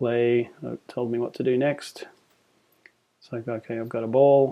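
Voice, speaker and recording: The man's voice sits at medium pitch with a dark, mellow tone. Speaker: software tutorial presenter. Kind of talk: tutorial. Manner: casual with fillers; fast.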